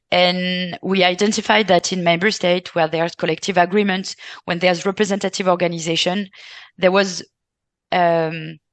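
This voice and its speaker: A woman with a French accent speaks at a moderate pace in a monotone, flat intonation. The background is quiet. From France. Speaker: care sector representative. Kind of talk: panel discussion. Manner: halting, many fillers.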